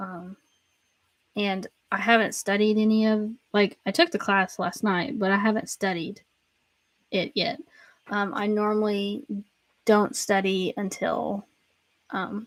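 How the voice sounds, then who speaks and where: A woman at medium pitch speaks with a Southern accent at a very slow pace, leaving long, frequent pauses, in a dry, close sound with no echo on a very clean recording with a silent background. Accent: Southern, self-described pronunciation issues. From US South, Tennessee. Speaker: Bible teacher. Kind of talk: casual chat. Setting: livestream. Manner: many filler words.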